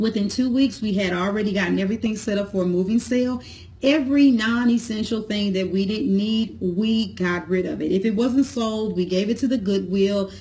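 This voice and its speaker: Somewhat breathy and dark, mellow in tone, the voice moves at a fairly quick pace with ordinary pitch variation and hardly any pauses. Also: woman. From St. Louis, Missouri; Missouri. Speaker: entrepreneur, business vlogger, cosmetologist; business vlogger. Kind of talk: motivational talk to camera. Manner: casual, conversational. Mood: warm, encouraging. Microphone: phone near.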